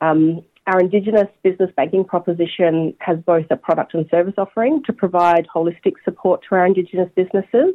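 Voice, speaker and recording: A woman with an Australian accent, medium pitch and ordinary pitch variation, at a very fast pace with hardly any pauses. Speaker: bank executive. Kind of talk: interview.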